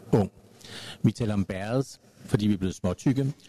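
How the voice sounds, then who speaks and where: A man's fairly low-pitched voice at a fairly quick pace, with a dark, mellow tone and a dry, close sound with no echo. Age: 50s. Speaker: panel moderator, counsellor. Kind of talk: moderated panel debate. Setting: live event with audience.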